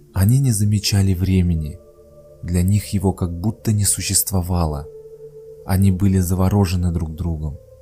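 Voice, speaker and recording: Over music in the background, the speaker has a calm, soothing tone and fairly even intonation. The pace is fairly slow. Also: man. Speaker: author reading own works. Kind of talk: legend narration.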